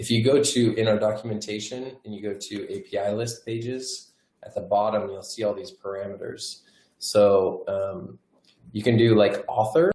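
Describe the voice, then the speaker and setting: A man at a moderate pace, medium in pitch and somewhat breathy, with a dark, mellow tone, ordinary pitch variation and big swings in loudness. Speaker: software product presenter. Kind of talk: webinar tutorial demo. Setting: online webinar.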